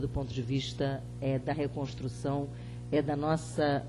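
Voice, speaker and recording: Background music can be heard. The talking proceeds fairly slowly. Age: 50s. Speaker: panel speaker. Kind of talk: panel talk. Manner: halting, many fillers.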